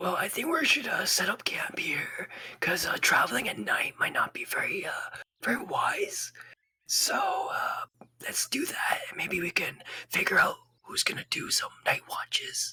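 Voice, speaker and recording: Whispering in a raspy, put-on character voice, a man talks at a moderate pace. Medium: actual play. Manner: easygoing, hesitant, filler-heavy.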